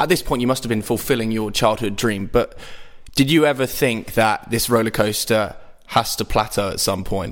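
A man's medium pitch and ordinary pitch variation at a moderate pace, in a normal speaking voice. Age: 20s. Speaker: podcast host. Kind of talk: interview.

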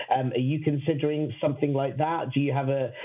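A man talks at a very fast pace in a monotone, flat intonation. His pitch is fairly high, and noticeable background noise runs underneath. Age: 30s. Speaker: interviewer. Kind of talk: interview.

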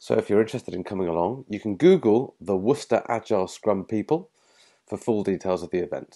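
Speaking with an English accent at a fairly quick pace, a man has a medium pitch, a dark, mellow tone and lively intonation over a quiet background. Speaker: podcast host. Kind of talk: podcast intro. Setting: bar.

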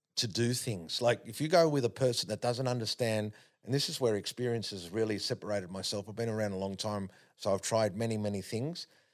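A man speaks at medium pitch and a fairly quick pace, with an Australian accent and ordinary pitch variation. The recording is very clean, with a silent background. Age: 50s. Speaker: sprint coach. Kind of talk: casual chat. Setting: studio.

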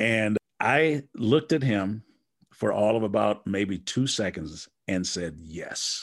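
Against a quiet background, a man with an American accent and a fairly low pitch speaks at a very slow pace with lively intonation. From Wisconsin. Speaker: motivational speaker and coach. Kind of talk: casual interview.

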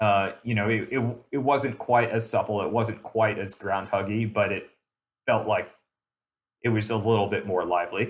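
A man speaks in a normal speaking voice at a moderate pace, with a fairly low pitch and fairly even intonation. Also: very clean recording, silent background. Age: 40s. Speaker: mountain biker, show member. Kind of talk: casual chat.

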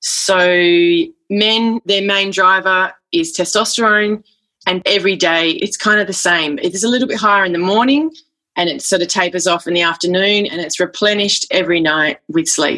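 This woman has an Australian accent. Her tone is bright and sharp. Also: medium pitch for a woman, ordinary pitch variation, moderate pace. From Western Australia. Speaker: folk singer and author. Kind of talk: casual interview.

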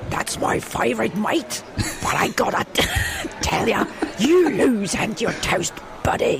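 Fairly slow delivery in a put-on character voice, clear background noise behind it. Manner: cheeky, threatening in jest.

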